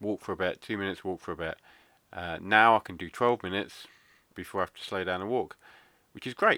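Fairly quick and bright, sharp in tone, a man with an English accent and a fairly low pitch talks with ordinary pitch variation in a very clean recording with a silent background. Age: 30s. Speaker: podcast host, stroke survivor. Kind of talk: casual monologue.

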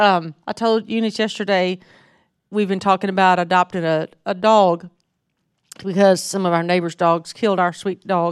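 The voice carries a strong Southern US accent in a monotone, flat intonation. The sound is dry and close with no echo. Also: woman, medium pitch for a woman, moderate pace, very clean recording, silent background. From North Mississippi, US South. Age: 50s. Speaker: missionary speaker. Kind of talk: sermon. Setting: church.

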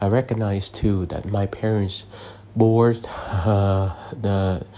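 A man's fairly low, dark, mellow voice with fairly even intonation. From abroad, immigrated to the US as a child. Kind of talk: sermon. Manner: hesitant, with frequent fillers.

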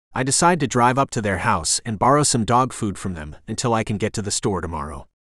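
A man's playful voice with vocal fry and very wide pitch swings, against a quiet background. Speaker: audiobook narrator voicing male lead. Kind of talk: literary audiobook reading, first-person narration. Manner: gruff, brooding, dry, with playful dog-voice.

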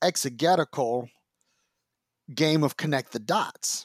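This man speaks in an animated tone at a fairly high pitch, with ordinary pitch variation. The recording is very clean, with a silent background and a dry, close sound with no echo. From US Midwest, Detroit, Michigan. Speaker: former pastor, author and podcaster. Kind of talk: casual interview conversation. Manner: animated, with frequent repetitions and restarts.

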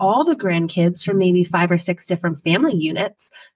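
An animated, somewhat breathy woman with an American accent, in a dry, close sound with no echo. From Pennsylvania. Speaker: family photographer. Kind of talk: casual chat.

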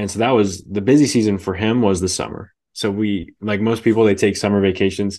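A man with a Californian accent talks at a fairly quick pace with hardly any pauses and fairly even intonation over a quiet background. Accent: Californian American English. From Northern California, Bay Area. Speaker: missionary podcaster and author. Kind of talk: interview conversation.

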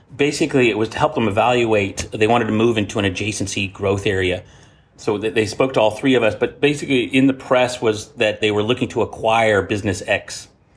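A man with an American accent speaks at a very fast pace and a medium pitch, his voice somewhat breathy. Loudness stays very even, and intonation is fairly even. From United States. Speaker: management consultant partner. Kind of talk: interview conversation. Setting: remote call.

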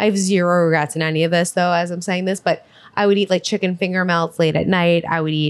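In a very clean recording with a silent background, a woman speaks in a monotone, flat way at a fairly low pitch. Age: 30s. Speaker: podcast host and cookbook author. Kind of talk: casual chat.

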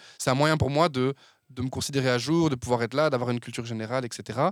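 A medium-pitched man rushes along at a very fast pace, his intonation fairly even. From Belgium, Verviers area (Wallonia). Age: 20s. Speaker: communication agency founder. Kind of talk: casual interview.

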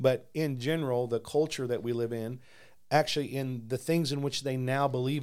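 The recording is very clean, with a silent background. A man with an unremarkable speaking voice talks at medium pitch, with ordinary pitch variation. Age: 50s. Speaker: pastor. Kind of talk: casual chat about faith.

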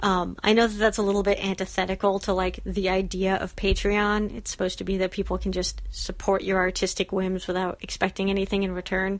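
A woman speaks at a fairly quick pace. There are hardly any pauses. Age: 30s. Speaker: cartoonist. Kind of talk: casual chat. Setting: outdoors.

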